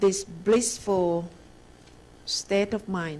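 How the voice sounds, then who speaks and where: In a Thai accent, a woman speaks at a very slow pace with ordinary pitch variation. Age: 60s. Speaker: meditation teacher. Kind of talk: dharma lecture; guided meditation. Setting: lecture hall with audience.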